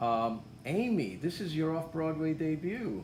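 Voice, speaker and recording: A man talks quietly with a fairly high, somewhat breathy voice and lively intonation, with audible room echo around him. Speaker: theatre interviewer. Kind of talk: casual interview. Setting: theatre lobby.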